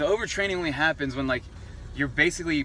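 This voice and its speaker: A man's voice with ordinary pitch variation. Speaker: fitness vlogger. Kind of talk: vlog talk to camera. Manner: fast; casual, filler-heavy.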